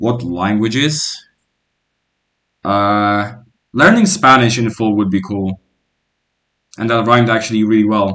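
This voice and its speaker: Fairly even intonation and a bright, sharp tone mark this voice with a Polish accent. It moves at a fairly slow pace with long, frequent pauses. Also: man, medium pitch for a man. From Poland. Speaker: gaming streamer. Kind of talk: casual live-stream chat while gaming. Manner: casual, with fillers and restarts.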